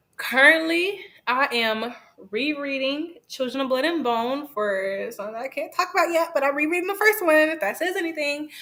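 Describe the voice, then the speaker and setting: A woman uses a raised, projected voice. Her pitch is high, and her intonation is lively. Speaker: book influencer. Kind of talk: interview. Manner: fast; casual.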